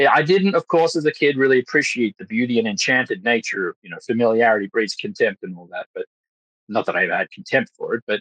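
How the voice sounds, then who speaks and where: In a dry, close sound with no echo, a man with an Australian accent speaks at a very fast pace with big swings in loudness. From Australia, Western Sydney / Blue Mountains. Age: 30s. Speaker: actor and Freemason. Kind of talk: podcast interview. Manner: halting, many fillers.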